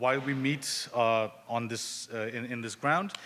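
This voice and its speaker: A man talks with fairly even intonation in a bright, sharp tone. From immigrant to Canada. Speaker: caregiver support organization presenter. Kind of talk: community presentation. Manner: fast.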